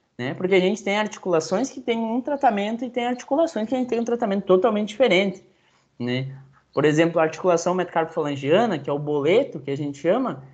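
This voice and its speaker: A man talks at a very fast pace. His high pitch makes very wide swings. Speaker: veterinarian giving a talk. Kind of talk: lecture.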